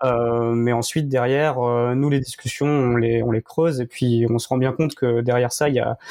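Flat, monotone intonation marks this man's speech at a medium pitch. He goes at a fairly slow pace. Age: 30s. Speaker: member of a men's contraception collective. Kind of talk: interview. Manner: halting.

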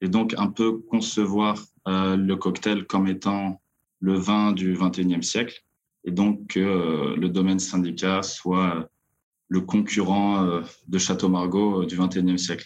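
A man speaks with a very deep, low pitch at a very slow pace. His intonation is monotone and flat. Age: 20s. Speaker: drinks company co-founder. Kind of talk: interview.

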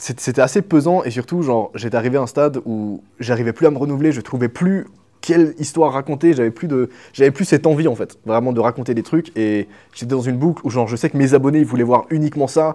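A man at a medium pitch with a dark, mellow tone, talking at a very fast pace over a quiet background. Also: ordinary pitch variation. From Switzerland, small village. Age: 20s. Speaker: YouTube content creator. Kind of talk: casual interview chat. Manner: animated, casual slang.

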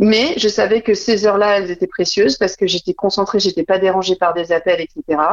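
A woman's normal speaking voice at medium pitch, with ordinary pitch variation, very even loudness and a fairly quick pace with hardly any pauses. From Burgundy, France (Dijon). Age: 30s. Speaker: entrepreneur, communication agency founder. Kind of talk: interview.

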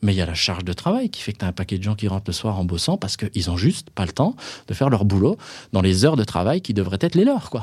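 A man with a fairly low, somewhat breathy voice speaks very fast with lively intonation. The recording is very clean, with a silent background. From Franche-Comté, France. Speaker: occupational health consultant. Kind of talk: interview conversation.

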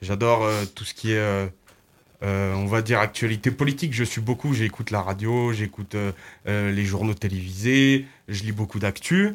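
An unremarkable speaking voice, a man's fairly low one, moves at a moderate pace with fairly even intonation on a very clean recording with a silent background. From Loire, France. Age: 20s. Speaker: social media meme creator. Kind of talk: radio interview.

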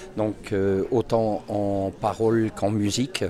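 Noticeable background noise surrounds the recording. A man talks very slowly at a fairly low pitch. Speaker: concertgoer. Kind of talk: vox pop interview. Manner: halting.

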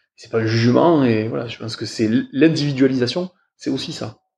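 Somewhat breathy and fairly quick, a man talks at medium pitch with ordinary pitch variation. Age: 40s. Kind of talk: interview. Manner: hesitant, many fillers.

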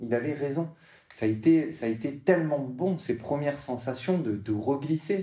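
At a very slow pace, a man talks in a dark, mellow, somewhat breathy tone at a medium pitch. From southern France, Martigues near Marseille. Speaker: para-surfer, motivational speaker. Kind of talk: interview. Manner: halting, many repetitions.

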